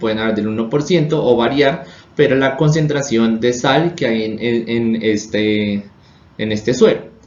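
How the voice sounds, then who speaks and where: There is audible room echo around this man's voice. His intonation is lively. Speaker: chemistry teacher. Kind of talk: lecture. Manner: halting.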